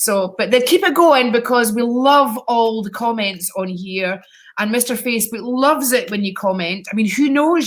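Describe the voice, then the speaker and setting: Somewhat breathy, the woman talks at a fairly slow pace. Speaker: psychic live-stream host. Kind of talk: casual live stream chat. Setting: live video stream. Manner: chatty, animated.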